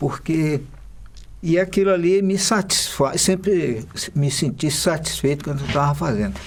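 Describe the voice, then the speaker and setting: This is a man talking. His pitch is fairly high. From Maranhão, Brazil. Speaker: illustrator. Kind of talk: documentary interview.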